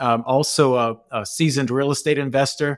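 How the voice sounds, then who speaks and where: Man with an American accent, on a very clean recording with a silent background and a dry, close sound with no echo. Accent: Cajun, thicker when excited. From New Orleans, US South. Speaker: military chaplain and performance coach. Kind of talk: casual interview conversation. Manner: animated, gets excited.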